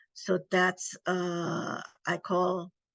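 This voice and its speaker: An Indonesian accent over a quiet background. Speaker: domestic violence advocate. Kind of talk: interview.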